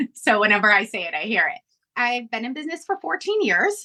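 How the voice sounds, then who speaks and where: A woman speaks with a Chicago accent. Her tone is bright and sharp. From Northwest Indiana, Chicago area. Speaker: balloon business owner. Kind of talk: podcast interview.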